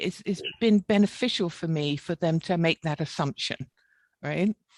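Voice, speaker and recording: A woman with a British accent at a fairly low pitch, lively intonation and a fairly slow pace, in a dry, close sound with no echo against a quiet background. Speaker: engineer with a doctorate. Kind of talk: webinar panel discussion. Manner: blunt.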